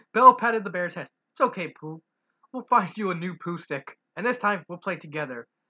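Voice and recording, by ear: Read aloud in a natural voice with lively intonation, over a quiet background.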